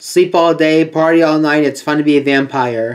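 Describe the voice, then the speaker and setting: A man's fairly even intonation comes through over a quiet background. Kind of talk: collection showcase commentary. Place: home room. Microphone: webcam.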